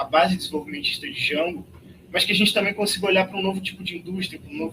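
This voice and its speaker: Using a raised, projected voice, a man with a Rio de Janeiro accent talks at a very fast pace with a high pitch. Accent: Rio de Janeiro (carioca) accent, noticeable. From Rio de Janeiro, Brazil. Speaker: party youth organiser. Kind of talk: political meeting speech.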